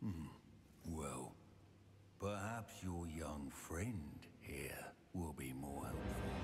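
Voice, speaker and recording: A man puts on a character voice, very deep and low, at a very slow pace with long, frequent pauses. Background noise is clearly audible. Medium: video game. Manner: menacing, sneering.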